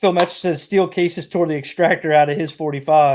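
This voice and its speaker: A man is speaking. He talks with a Southern US accent. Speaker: live stream host. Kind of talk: casual chat. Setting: live stream. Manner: halting.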